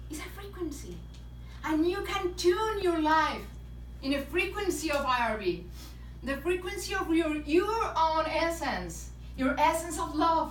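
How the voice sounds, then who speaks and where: In a Spanish accent, a woman speaks at a fairly slow pace with audible room echo. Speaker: motivational speaker and author. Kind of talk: inspirational talk. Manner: non-native, halting phrasing.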